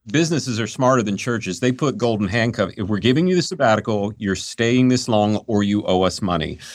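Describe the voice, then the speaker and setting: In a quiet background, a man with an American accent and a normal speaking voice talks at a fairly quick pace, medium-pitched, with lively intonation. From Western North Carolina. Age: 50s. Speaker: executive search firm founder. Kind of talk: casual interview conversation.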